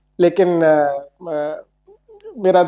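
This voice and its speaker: A dry, close sound with no echo around a man's dark, mellow tone. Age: 60s. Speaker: company founder. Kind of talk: interview.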